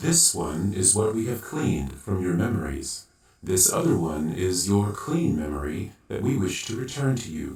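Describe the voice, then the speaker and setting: Using a put-on character voice, a man talks at a moderate pace and a fairly low pitch. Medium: audio drama. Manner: formal, speaks of itself as "we".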